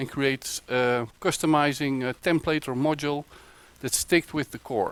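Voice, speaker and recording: A man speaks with a Dutch accent at a medium pitch. His pace is moderate. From Netherlands. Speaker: web developer. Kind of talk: conference talk. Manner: halting, many fillers.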